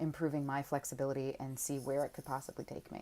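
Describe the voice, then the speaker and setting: A woman with an American accent speaks at a very deep, low pitch in a dark, mellow tone. Her intonation is monotone and flat, in a very clean recording with a silent background. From Washington, D.C., US. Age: 30s. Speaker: pole dance instructor and convention organizer. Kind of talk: application video narration.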